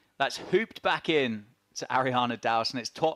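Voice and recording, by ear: A man has a normal speaking voice at medium pitch, with lively intonation and a moderate pace. The sound is dry and close, with no echo.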